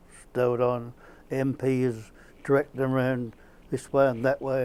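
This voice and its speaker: A man speaks at a medium pitch with a Suffolk accent. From England, Suffolk (East Anglia). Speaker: war-time villager interviewee. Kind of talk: documentary interview.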